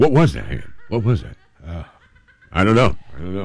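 There is vocal fry in this man's voice. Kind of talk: ghost story telling, casual radio chat. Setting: radio show. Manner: animated, conversational, playful; jokey, with laughs and mock-dramatic voices.

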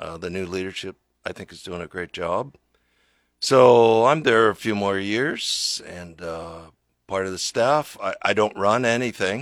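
In an ordinary speaking voice, a man with a fairly low pitch and an American accent talks at a fairly slow pace with ordinary pitch variation, on a very clean recording with a silent background. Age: 60s. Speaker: pastor and author. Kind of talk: radio interview. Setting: radio studio.

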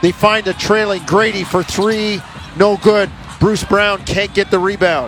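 Over noticeable background noise, a man speaks at a high pitch. His intonation stays fairly even. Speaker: radio play-by-play announcer. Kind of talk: rapid-fire basketball play-by-play, calling each pass, drive and shot live. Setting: radio broadcast booth.

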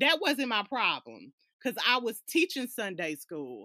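A woman speaks at a moderate pace with very wide pitch swings, a bright, sharp tone and vocal fry. The sound is dry and close, with no echo. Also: very clean recording, silent background. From Alabama. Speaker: guest. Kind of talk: casual chat.

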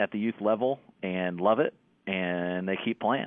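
A man's plain, everyday voice, fairly low in pitch, with an American accent and fairly even intonation. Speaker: high school football coach. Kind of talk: sports interview.

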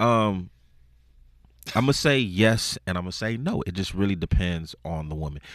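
A man with a very deep, low pitch uses lively intonation at a moderate pace, with long, frequent pauses. The recording is very clean and the background silent. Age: 30s. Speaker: radio station staffer. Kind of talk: casual chat. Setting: radio studio. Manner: hesitant with fillers.

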